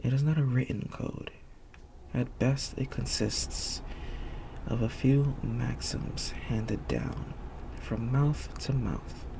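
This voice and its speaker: A man speaks at a very slow pace with long, frequent pauses. Noticeable background noise can be heard. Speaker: ASMR reader. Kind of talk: soft-spoken ASMR book reading. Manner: soft-spoken, not whispered.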